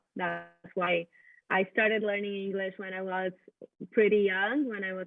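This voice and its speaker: The woman speaks at a moderate pace. Her intonation stays fairly even. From Brazil. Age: 20s. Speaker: international student. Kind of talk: interview.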